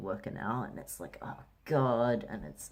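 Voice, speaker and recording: Using a fairly low pitch with vocal fry, a man lets his pitch swing very widely. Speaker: vlogger. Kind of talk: casual vlog. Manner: casual, many fillers.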